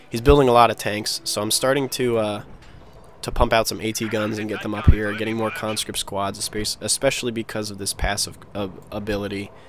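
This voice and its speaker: The delivery is monotone and flat at a fairly quick pace, with big swings in loudness over noticeable background noise. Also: man. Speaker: video game commentator. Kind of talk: gameplay commentary.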